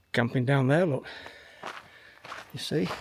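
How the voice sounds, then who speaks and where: Noticeable background noise behind a man with a fairly high pitch and a moderate pace. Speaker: hiking vlogger. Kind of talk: vlog narration. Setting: outdoors. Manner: casual, rambling.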